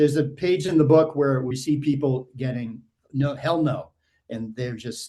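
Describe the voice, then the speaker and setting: With an American accent, a man talks at a moderate pace in a dark, mellow tone that is somewhat breathy, his intonation fairly even. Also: fairly high pitch for a man. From Massachusetts, Needham near Boston. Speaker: author and art director. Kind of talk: casual interview.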